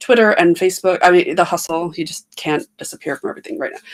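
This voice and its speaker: With an American accent, a woman speaks at a medium pitch using lively intonation. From US Midwest (Michigan). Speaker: author and publisher. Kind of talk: interview. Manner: fast.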